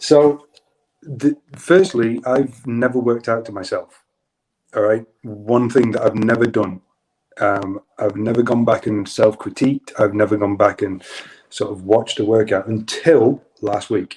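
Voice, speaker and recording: A man with a British accent and a medium pitch. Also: ordinary pitch variation. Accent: British accent, remarked on. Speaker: yoga instructor. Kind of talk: casual chat. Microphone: audio issues, clicking and popping.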